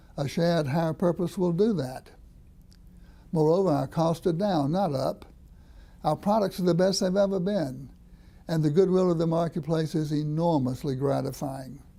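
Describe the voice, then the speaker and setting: A man's high-pitched voice with a dark, mellow tone and ordinary pitch variation, at a moderate pace with long, frequent pauses. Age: 70s. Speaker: business leader, award recipient. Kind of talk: recorded acceptance speech. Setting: pre-recorded video for event. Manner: formal.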